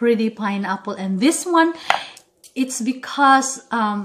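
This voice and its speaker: At a fairly slow pace, a woman with a Philippine accent speaks at a high pitch. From Philippines, Visayas. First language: Bisaya. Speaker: cooking vlogger. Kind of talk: tutorial. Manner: animated.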